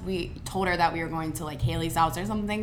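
A woman speaks with an American accent. Music plays in the background and room echo is audible. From Ohio, Cincinnati area. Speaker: college student. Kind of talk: casual chat. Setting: studio.

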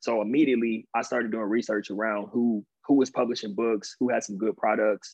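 A man of medium pitch talks at a very fast pace. His intonation stays fairly even. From Inland Empire, Southern California. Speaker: career transition coach and former athlete. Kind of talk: casual interview.

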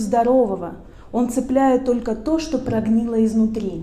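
At a fairly slow pace, a woman speaks amid noticeable background noise and audible room echo. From the West. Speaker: psychologist. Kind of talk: talk to audience.

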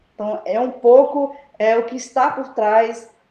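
Her pitch fairly high and varied in an ordinary way, a woman speaks at a fairly slow pace. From Baixada Maranhense, Maranhão, Brazil. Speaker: education professor. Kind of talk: interview. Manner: hesitant, many fillers.

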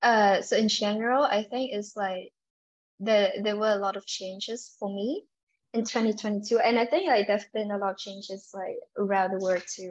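With a Vietnamese accent, a woman speaks at a moderate pace and keeps her intonation fairly even. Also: medium pitch for a woman, quiet background. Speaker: UX designer. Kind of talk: interview. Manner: halting, many fillers.

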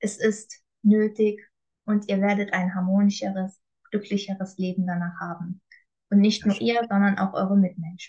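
A woman speaks in a calm, somewhat breathy tone. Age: 20s. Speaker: coach. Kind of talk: personal testimony.

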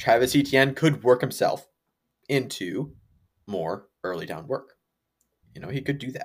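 A man talks with vocal fry, big swings in loudness, and long, frequent pauses. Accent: American. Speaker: fantasy football podcast co-host. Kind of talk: casual chat.

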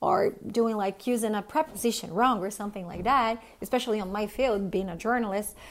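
A woman talks with a Portuguese accent and fairly even intonation. She moves at a fairly quick pace with hardly any pauses. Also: fairly high pitch for a woman. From Brazil. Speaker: podcast host, journalist. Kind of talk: interview.

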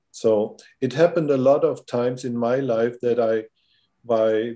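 In a German accent, a man speaks fairly slowly at a medium pitch, with ordinary pitch variation and a dark, mellow tone. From Germany. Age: 60s. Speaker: filmmaker. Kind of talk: casual interview. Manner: halting.

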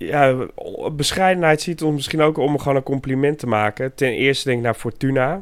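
On a very clean recording with a silent background, this man talks at a moderate pace. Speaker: football podcast co-host. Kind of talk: casual chat. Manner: halting, repeats words.

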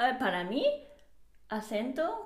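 This woman speaks with a Japanese accent. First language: Japanese (speaking Spanish). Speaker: podcast co-host. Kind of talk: casual chat. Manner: halting.

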